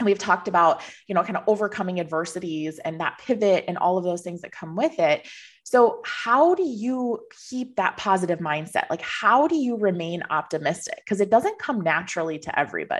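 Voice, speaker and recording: This woman has a plain, everyday voice at medium pitch with lively intonation. She speaks at a fairly quick pace. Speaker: financial planning podcast host. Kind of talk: interview conversation.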